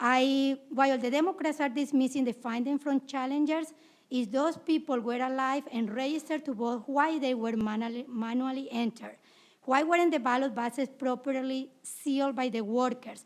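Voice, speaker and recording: A woman's high voice holds fairly even intonation while moving at a moderate pace. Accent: Latin American. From South America. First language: Spanish. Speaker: poll challenger testifying at hearing. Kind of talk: testimony. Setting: legislative committee hearing.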